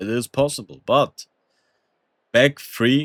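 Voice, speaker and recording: Recorded very cleanly against a silent background, with a dry, close sound and no echo, a man talks at a fairly slow pace in a medium pitch. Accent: non-native. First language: not English. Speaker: gaming content creator. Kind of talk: tutorial. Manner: casual, with fillers and hesitations; animated.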